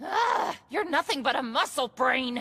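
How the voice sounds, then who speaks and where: In a loud, raspy put-on character voice, a woman speaks at a fairly slow pace in a high pitch with very wide pitch swings. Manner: hollering, loud and exasperated.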